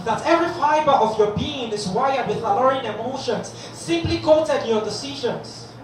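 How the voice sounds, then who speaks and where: Amid noticeable background noise, a man talks at a moderate pace in an extremely high voice with ordinary pitch variation. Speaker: spoken word poet. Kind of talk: spoken word poetry performance. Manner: high-energy, rhythmic, oratorical delivery.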